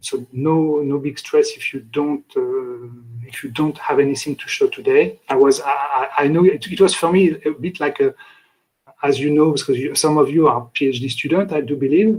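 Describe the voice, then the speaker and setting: A man with a French accent at a moderate pace. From France. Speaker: lecturer. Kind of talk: lecture. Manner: halting.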